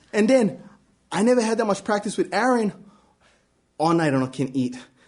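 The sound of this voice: A man talks at a moderate pace in a high pitch. His tone is slightly mellow, and his pitch swings widely.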